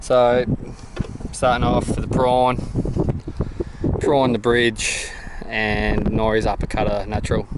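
The man's voice sounds dry, free of echo, though noticeable background noise is present. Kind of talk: casual vlog chat. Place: boat. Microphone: phone near.

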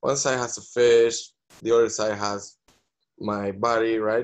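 Against a quiet background, a man speaks with a Spanish accent. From Venezuela. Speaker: visual artist. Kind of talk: panel discussion. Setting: video call. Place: home room. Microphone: video call.

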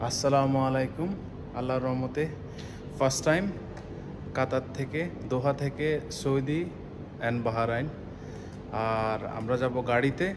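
A man's intonation stays fairly even while noticeable background noise goes on behind him. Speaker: travel vlogger. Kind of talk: casual vlog chat. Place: garage. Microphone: phone near.

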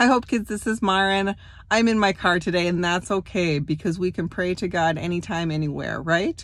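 A woman at a moderate pace, with ordinary pitch variation and a dry sound with no echo. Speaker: church children's teacher. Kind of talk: prayer and address to children. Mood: warm, gentle. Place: car. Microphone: phone near.

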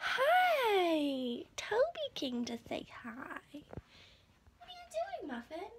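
A woman speaks at a very slow pace with an extremely high pitch. Her loudness swings widely, and light background noise can be heard. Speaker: vlogger. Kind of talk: casual vlog chat. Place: kitchen. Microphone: phone near.

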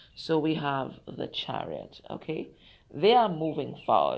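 A woman with lively intonation talks as noticeable background noise plays. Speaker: tarot reader. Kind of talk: tarot reading talk to viewers. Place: garden. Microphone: phone near.

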